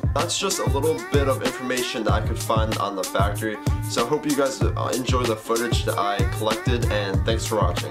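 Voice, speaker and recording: Loud music plays in the background. A man speaks over it at a fairly quick pace. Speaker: vlogger. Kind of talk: casual vlog intro. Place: home room. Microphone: phone near.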